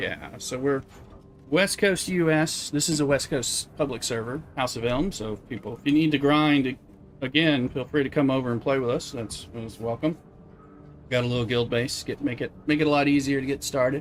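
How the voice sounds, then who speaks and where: A fairly high-pitched man with a Southern US accent, relaxed in tone, at a moderate pace with ordinary pitch variation. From US South. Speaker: video game streamer. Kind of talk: casual live-stream chat. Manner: relaxed, rambling.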